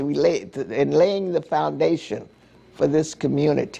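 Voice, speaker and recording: A woman with an American accent speaks in a dark, mellow tone marked by vocal fry. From Miami, Florida. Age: 80s+. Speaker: community elder and historic preservation activist. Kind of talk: interview. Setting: on camera.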